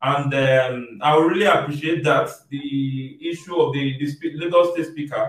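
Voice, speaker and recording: A man talks at a fairly high pitch. There is audible room echo over a quiet background. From Nigeria. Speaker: online show host; show host. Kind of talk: interview discussion. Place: home room.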